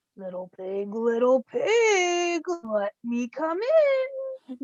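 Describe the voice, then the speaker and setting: A high-pitched, put-on character voice with very wide pitch swings at a very slow pace. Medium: read story. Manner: demanding.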